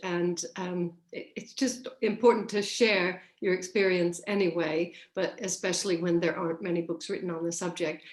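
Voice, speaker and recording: A woman speaks in a plain, everyday voice at a medium pitch. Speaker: interview host. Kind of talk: friendly video interview host.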